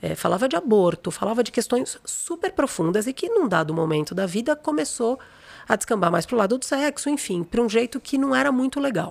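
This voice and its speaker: With noticeable background noise, a woman speaks at a fairly quick pace in an animated tone with very wide pitch swings. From São Paulo, Brazil. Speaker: creativity consultant, former journalist and art director. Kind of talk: interview conversation.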